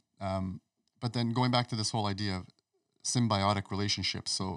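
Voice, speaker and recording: Over a silent background in a very clean recording, a man with fairly low pitch and fairly even intonation speaks in an unremarkable speaking voice. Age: 40s. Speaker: naturopathic doctor. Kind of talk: casual chat. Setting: studio.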